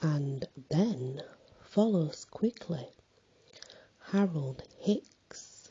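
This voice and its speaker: A soft-spoken man talks at a very slow pace, high in pitch with lively intonation. Long, frequent pauses break up his speech over noticeable background noise. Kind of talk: poetry reading.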